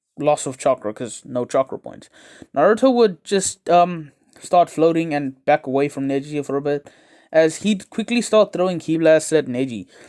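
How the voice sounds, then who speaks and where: A man's fairly high voice on a very clean recording with a silent background. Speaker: anime YouTuber. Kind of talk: casual fan-fiction storytelling monologue. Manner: fast; halting, many fillers.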